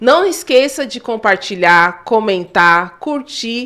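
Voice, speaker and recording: This woman's tone is animated. Her pitch sits high. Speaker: podcast co-host. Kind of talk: casual podcast chat. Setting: studio, live stream. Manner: articulate.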